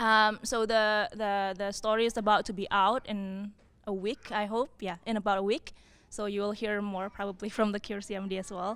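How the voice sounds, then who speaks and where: Very cleanly recorded with a silent background, a woman speaks at medium pitch and a moderate pace in a monotone, flat delivery. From Indonesia. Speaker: scientist. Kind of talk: panel talk.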